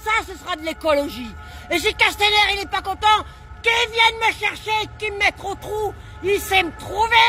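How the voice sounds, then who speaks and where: Over music in the background, a woman uses a raised, projected voice at an extremely high pitch, animated in tone with ordinary pitch variation and big swings in loudness. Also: moderate pace. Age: 60s. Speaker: protester. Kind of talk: impromptu street speech. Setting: outdoors at a street protest. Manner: animated, indignant.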